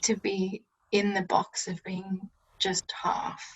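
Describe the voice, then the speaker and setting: The woman's voice is pitched at a medium level and sounds somewhat breathy. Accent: Australian. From rural Victoria, Australia. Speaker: podcast guest. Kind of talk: casual chat. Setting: video call.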